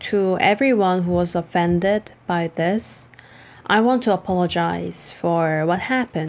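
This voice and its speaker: A woman with a Korean accent, fairly low pitch and very even loudness, over noticeable background noise. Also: ordinary pitch variation, fairly slow pace. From South Korea. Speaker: vlogger. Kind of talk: casual vlog commentary.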